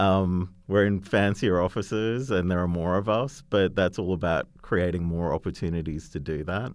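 With an Australian accent, a man speaks at a moderate pace in a very deep, low pitch with ordinary pitch variation on a very clean recording with a silent background. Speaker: creative agency chief. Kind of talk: interview.

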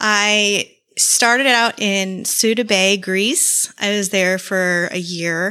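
In an American accent, a woman with a bright, sharp tone speaks very slowly at a medium pitch, her intonation fairly even. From southwest Florida (Naples). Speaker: podcaster, former Navy police officer. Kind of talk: true crime case narration; casual interview chat. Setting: remote video call.

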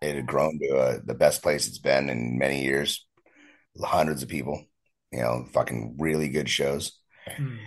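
This man has a very deep, low voice with vocal fry and an American accent. His intonation stays fairly even. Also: moderate pace. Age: 40s. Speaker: punk musician. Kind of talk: casual interview.

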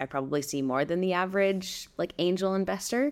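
An ordinary speaking voice moves at a fairly quick pace with lively intonation, recorded very cleanly over a silent background. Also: woman. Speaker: podcast co-host. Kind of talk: interview.

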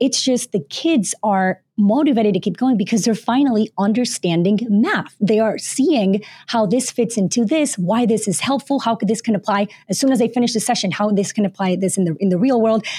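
A dark, mellow, somewhat breathy voice moves at a fairly quick pace with hardly any pauses. Its loudness stays very even, and its pitch variation is ordinary. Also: woman, fairly high pitch for a woman. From Panama, but moved around many countries. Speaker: author and former teacher. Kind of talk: interview.

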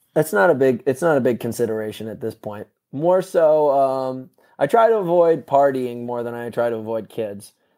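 In an American accent, this voice has a dark, mellow tone and lively intonation at a moderate pace. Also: man, medium pitch for a man. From New York and Connecticut, US. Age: 30s. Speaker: athlete. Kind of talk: casual chat.

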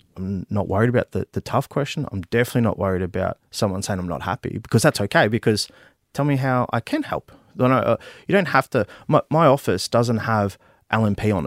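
With an Australian accent, a man talks at a medium pitch with lively intonation, in a very clean recording with a silent background and a dry, close sound with no echo. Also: fairly quick pace. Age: 30s. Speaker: politician, army veteran. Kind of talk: interview. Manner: halting, many fillers and repeats.

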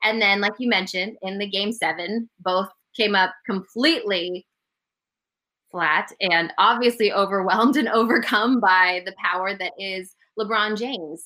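A woman with an American accent and a normal speaking voice keeps a moderate pace and ordinary pitch variation. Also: medium pitch for a woman. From Denver, Colorado. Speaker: sports TV host. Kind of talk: casual interview.

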